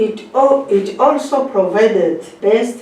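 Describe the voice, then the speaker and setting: Over noticeable background noise, a woman talks at a fairly high pitch with lively intonation. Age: 70s. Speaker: honey traders' association chairperson; retired teacher. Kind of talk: prepared speech read aloud.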